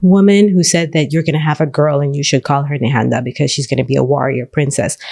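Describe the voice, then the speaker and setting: The speaker has a Central American accent. The intonation stays fairly even. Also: woman. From Belize. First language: Garifuna. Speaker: teacher and mother. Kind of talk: interview. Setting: studio.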